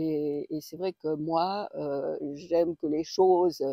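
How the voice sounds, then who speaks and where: At a very slow pace, a woman speaks at a fairly low pitch with a dark, mellow tone and ordinary pitch variation, in a dry, close sound with no echo. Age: 60s. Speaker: personal growth coach. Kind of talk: casual vlog. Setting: outdoors on a walk. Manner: halting, many hesitations. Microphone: external mic on phone.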